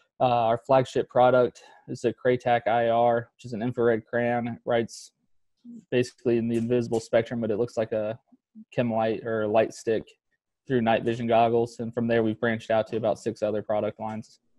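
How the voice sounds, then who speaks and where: Against a quiet background with a dry sound and no echo, a man speaks at a fairly quick pace in a monotone, flat delivery. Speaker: startup founder and army veteran. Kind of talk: interview. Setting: call. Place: home room. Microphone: video call.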